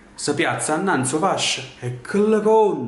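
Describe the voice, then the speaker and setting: In a Neapolitan accent, someone speaks very slowly in an intense tone with very wide pitch swings, and room echo can be heard. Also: man. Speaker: dramatic reader. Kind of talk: poetry reading. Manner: intense, expressive. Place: home room. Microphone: webcam.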